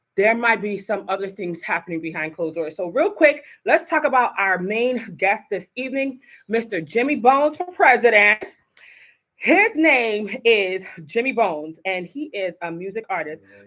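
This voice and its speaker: An American-accented woman speaks at a moderate pace and a fairly high pitch, with an animated tone and very wide pitch swings. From Haitian American. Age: 40s. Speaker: talk show host. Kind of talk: live talk show. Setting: studio.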